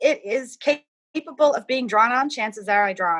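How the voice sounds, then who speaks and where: Bright, sharp tone from a woman, with ordinary pitch variation. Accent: Cape Breton. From Cape Breton, Nova Scotia (North Sydney). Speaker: artist. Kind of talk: casual interview.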